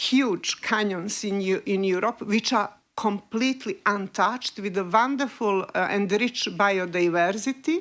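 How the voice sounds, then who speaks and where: In a Montenegrin accent, a woman speaks at a medium pitch and a fairly slow pace. She uses ordinary pitch variation and hardly any pauses. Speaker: investigative journalist. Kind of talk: panel discussion. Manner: halting, many fillers.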